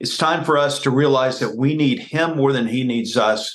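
At medium pitch and a moderate pace, a man talks in an ordinary speaking voice. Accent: American. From Texas, Houston area. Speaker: politician, former news anchor. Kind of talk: interview.

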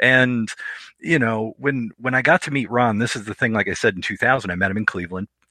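A man with an American accent talks at a fairly quick pace in a bright, sharp tone. His medium pitch shows ordinary variation, and the sound is dry and close with no echo. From Detroit. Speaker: author and filmmaker. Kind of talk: casual interview.

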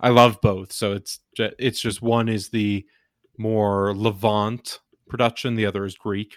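In an American accent, a man talks at a fairly slow pace with fairly even intonation and a fairly low pitch. It is an ordinary speaking voice, with a dry, close sound and no echo. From Texas. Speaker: podcast host. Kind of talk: casual chat.

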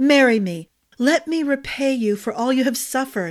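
A woman speaks in a high-pitched, put-on character voice. Her intonation is lively and her pace moderate. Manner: longing, pleading.

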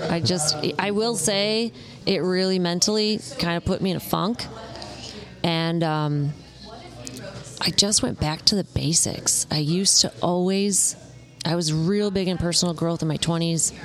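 A woman with an American accent speaks at a fairly slow pace and fairly low pitch, with ordinary pitch variation, long, frequent pauses and noticeable background noise. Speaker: realtor. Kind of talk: casual interview. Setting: coffee shop. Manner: animated.

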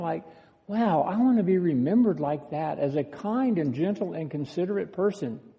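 A man with an American accent speaks with lively intonation, and room echo can be heard. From United States. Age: 60s. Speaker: pastor. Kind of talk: sermon.

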